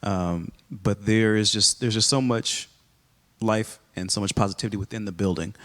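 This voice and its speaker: A man speaks with a slight Texas accent. His fairly low voice keeps a fairly even intonation. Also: moderate pace. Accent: very little Texas. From Texas, Rowlett area. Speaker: high school principal. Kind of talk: casual interview conversation.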